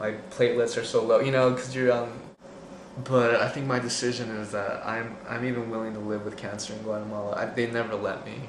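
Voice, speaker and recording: A man's medium-pitched, monotone voice with flat intonation at a fairly quick pace, with audible room echo and noticeable background noise. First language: Spanish. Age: 20s. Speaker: returned missionary with cancer. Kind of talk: personal testimony. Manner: halting, many fillers.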